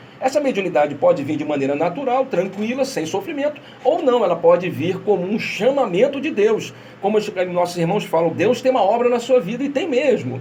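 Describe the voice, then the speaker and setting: The delivery is animated in tone and fairly quick. Noticeable background noise is present. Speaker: radio host of spiritist program. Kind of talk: radio talk on spirituality. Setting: radio studio, streamed live. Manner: fast.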